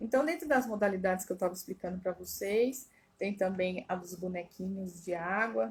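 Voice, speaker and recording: A woman talks with lively intonation and a somewhat breathy voice. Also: medium pitch for a woman, moderate pace. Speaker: family constellation therapist. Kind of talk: live stream talk. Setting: Instagram live.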